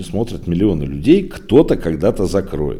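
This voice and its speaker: Very wide pitch swings mark this man's speech. His tone is dark and mellow. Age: 40s. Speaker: podcast host, site owner. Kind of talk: solo news digest podcast. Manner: conversational, filler-heavy.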